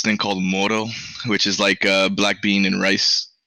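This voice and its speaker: In a Spanish accent, a man speaks at a moderate pace with a fairly low pitch and a bright, sharp tone. The sound is dry and close, with no echo. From Miami, Florida, US. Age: 20s. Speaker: esports coach. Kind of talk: casual interview.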